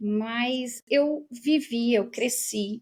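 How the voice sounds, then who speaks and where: A woman speaks with a southern Brazilian accent. The sound is dry and close, with no echo. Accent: southern Brazilian (gaúcho). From southern Brazil, Rio Grande do Sul. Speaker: professor and researcher. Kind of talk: interview conversation.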